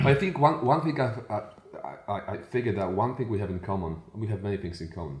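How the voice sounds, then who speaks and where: Speaking very fast in a Polish accent, a man has a fairly low pitch and lively intonation. Room echo can be heard. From Poland. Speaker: podcast host, coach. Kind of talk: casual interview chat.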